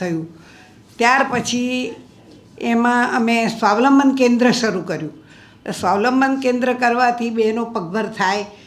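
Audible room echo surrounds a woman's fairly high voice, which shows ordinary pitch variation. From Gujarat, Ahmedabad. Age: 80s+. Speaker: social worker. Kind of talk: speech.

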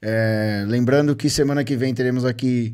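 A man speaks over a quiet background. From Brazil. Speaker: podcast host. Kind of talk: casual chat. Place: studio. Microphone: studio mic.

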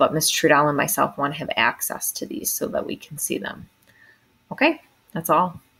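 A soft-spoken woman talks at a fairly quick pace. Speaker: teacher. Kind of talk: tutorial.

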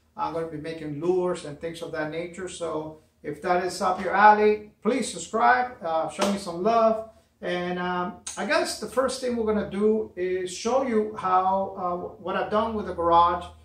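Audible room echo surrounds a man speaking at a high pitch with ordinary pitch variation. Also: moderate pace. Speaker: DIY channel host. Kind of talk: casual vlog chat. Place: garage. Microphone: camera far.

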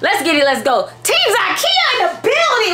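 A woman talks in a raised, projected voice at a fairly quick pace, her pitch swinging very widely, with light background noise behind her. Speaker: vlogger. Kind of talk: casual vlog chat. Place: kitchen. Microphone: phone near.

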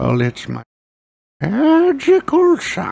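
High in pitch, the voice is a put-on character voice. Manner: curt, fussy, clipped.

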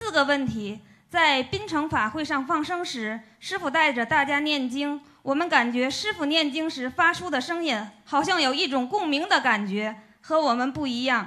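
A woman speaks in a raised, projected voice at a high pitch, with lively intonation at a moderate pace against a quiet background. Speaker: disciple asking question at seminar; audience member. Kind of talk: formal question at Dharma seminar. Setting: seminar hall with audience. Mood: polite, respectful. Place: hall. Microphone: handheld.

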